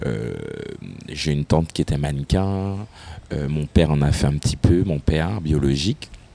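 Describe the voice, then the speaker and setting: A man's very deep, low voice with ordinary pitch variation and long, frequent pauses, over noticeable background noise. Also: moderate pace. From Martinique. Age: 30s. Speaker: fashion and carnival personality. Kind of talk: interview.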